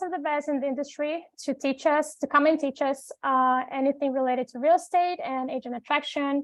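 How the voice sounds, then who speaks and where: Speaking in a Portuguese accent, a woman uses a high pitch and fairly even intonation. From Brazil. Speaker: executive assistant. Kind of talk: self-introduction.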